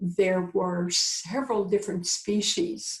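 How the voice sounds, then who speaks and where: Somewhat breathy, a woman speaks at medium pitch with lively intonation. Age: 70s. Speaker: visionary educator and author. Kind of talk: interview. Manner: halting.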